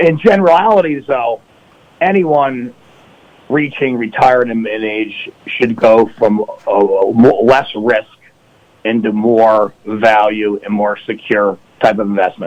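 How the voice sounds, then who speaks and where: Against noticeable background noise, a man with an American accent talks at a very slow pace, his medium pitch showing ordinary variation. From upstate New York. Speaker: financial advisor. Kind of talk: radio interview.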